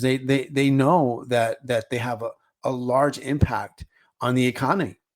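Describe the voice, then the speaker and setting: At a moderate pace, a man with an American accent speaks at a medium pitch in a very clean recording with a silent background. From US, Los Angeles, California. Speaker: podcast host, franchise owner. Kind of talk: casual monologue. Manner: halting, many repetitions and fillers.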